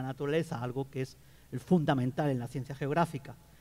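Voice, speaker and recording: A man talks at a very fast pace with a Catalan accent. His tone is dark and mellow. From Catalonia, Spain. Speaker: geographer, academic panelist. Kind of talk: book presentation talk.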